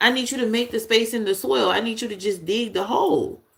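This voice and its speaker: With lively intonation and an animated tone, a woman speaks at a fairly high pitch. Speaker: tarot reader. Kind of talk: intuitive tarot reading. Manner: animated, preachy.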